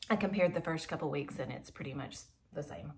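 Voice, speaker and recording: Her pitch fairly low with ordinary variation, a woman speaks. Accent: Southern. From Georgia, US South. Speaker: homeschooling mom and YouTuber. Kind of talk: unboxing video.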